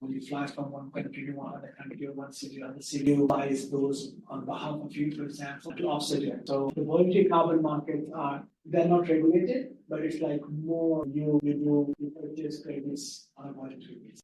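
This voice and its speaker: A soft-spoken man with a fairly high pitch, monotone and flat, fairly quick with hardly any pauses and big swings in loudness. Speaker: carbon markets consultant. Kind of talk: webinar presentation. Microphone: too quiet, far from the mic.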